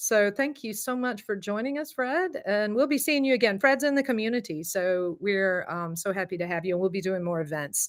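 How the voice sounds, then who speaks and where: A woman with a Southern US accent talks at a fairly quick pace with hardly any pauses. Her medium-pitched voice has lively intonation. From US South. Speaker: voice and confidence coach. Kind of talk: online masterclass.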